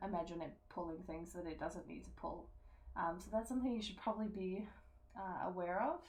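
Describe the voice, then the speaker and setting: Soft-spoken and showing vocal fry, a woman speaks at a medium pitch. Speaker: gamer and streamer. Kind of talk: game tutorial voice-over. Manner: soft-spoken, quiet; casual, many fillers.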